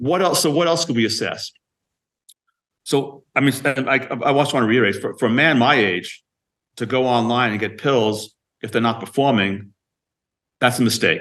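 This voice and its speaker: A man's medium-pitched speech at a moderate pace, with ordinary pitch variation and long, frequent pauses. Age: 60s. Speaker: emergency physician, device company founder. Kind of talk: podcast interview. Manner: halting, many repetitions.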